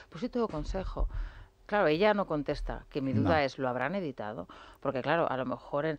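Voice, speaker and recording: Very wide pitch swings run through speech delivered at a fairly quick pace. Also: woman, very deep, low pitch for a woman. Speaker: political commentator. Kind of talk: radio talk show debate.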